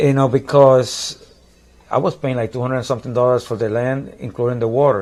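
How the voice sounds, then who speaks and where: A man with a Puerto Rican accent speaks at medium pitch and a fairly quick pace, his intonation fairly even. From Puerto Rico. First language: Spanish. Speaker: musician. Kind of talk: casual chat. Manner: halting.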